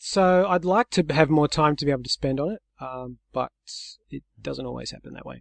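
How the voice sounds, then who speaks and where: In an Australian accent, the speaker goes at a moderate pace with ordinary pitch variation and big swings in loudness, recorded with a dry, close sound with no echo against a quiet background. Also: man, fairly high pitch for a man. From Australia, Sydney. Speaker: software developer. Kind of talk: interview.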